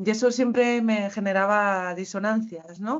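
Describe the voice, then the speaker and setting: A woman talks in an ordinary speaking voice at a medium pitch with fairly even intonation. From Basque Country, Spain. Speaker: university lecturer, co-author. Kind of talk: panel talk at academic conference. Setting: university conference with audience.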